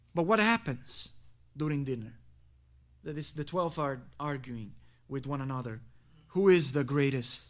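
A man speaks at a moderate pace with a fairly high pitch and lively intonation. Long, frequent pauses break up his speech, and audible room echo surrounds it. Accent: Italian. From Italy. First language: Italian. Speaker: pastor. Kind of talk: sermon.

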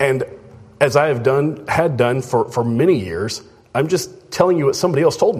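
With audible room echo, a man speaks at a moderate pace in a fairly high, somewhat breathy voice with lively intonation. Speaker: preacher. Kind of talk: sermon.

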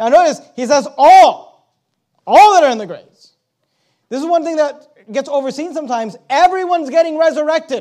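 At a fairly quick pace, a man with an extremely high pitch and a dark, mellow tone uses ordinary pitch variation and big swings in loudness, on a very clean recording with a silent background. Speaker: pastor. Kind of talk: sermon. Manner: fast.

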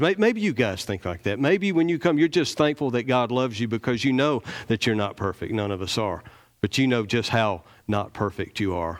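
Speaking at a fairly quick pace, a man with a Southern US accent uses lively intonation at a medium pitch. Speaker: lay preacher. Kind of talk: sermon. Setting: church. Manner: animated.

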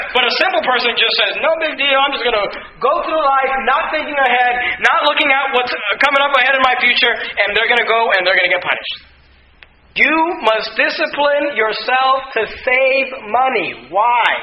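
Amid noticeable background noise and audible room echo, a man with an extremely high pitch talks at a moderate pace with ordinary pitch variation. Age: 20s. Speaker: pastor. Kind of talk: sermon.

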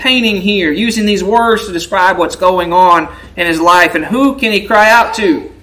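Reading aloud in a natural voice, the speaker lets the pitch vary an ordinary amount.

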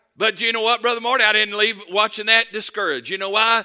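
A man's raised, projected voice, high-pitched and bright and sharp in tone, at a very fast pace with fairly even intonation. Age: 50s. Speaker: pastor. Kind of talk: sermon. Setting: church.

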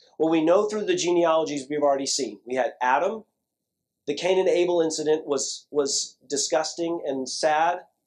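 A man with a plain, everyday voice talks at a moderate pace and a fairly high pitch. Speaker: pastor. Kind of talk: sermon. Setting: church.

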